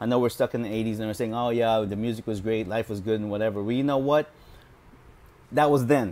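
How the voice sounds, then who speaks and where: There is ordinary pitch variation as a man talks in a medium register. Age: 40s. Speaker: video blogger reviewing books. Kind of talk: casual monologue. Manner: hesitant, with many fillers. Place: home room. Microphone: earbuds.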